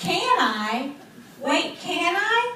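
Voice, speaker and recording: A squeaky, put-on character voice at an extremely high pitch jumps through very wide pitch swings, with slight echo and clear background noise. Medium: stage play. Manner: eager, boastful.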